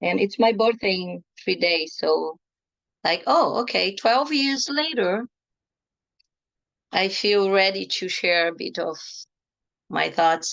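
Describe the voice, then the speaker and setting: Speaking with a non-native accent, a woman with a medium pitch and lively intonation goes at a very slow pace with long, frequent pauses. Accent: foreign. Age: 50s. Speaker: energy healing teacher and tarot therapist. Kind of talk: online workshop talk.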